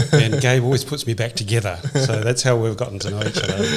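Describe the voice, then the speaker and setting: A somewhat breathy man with a New Zealand accent and ordinary pitch variation. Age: 60s. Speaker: real estate executive. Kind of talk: podcast interview. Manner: calm.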